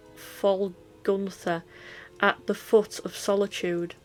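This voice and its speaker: A woman speaks with a Yorkshire accent. Music plays in the background. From Yorkshire, England. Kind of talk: book reading. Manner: casual, occasionally stumbling over words.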